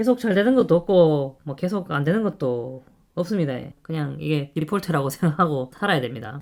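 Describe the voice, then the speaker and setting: A man with a Gyeongsang accent talks at a moderate pace in a fairly high pitch. His pitch swings very widely, in a very clean recording with a silent background. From Gyeongsang, South Korea. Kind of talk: casual talk to camera.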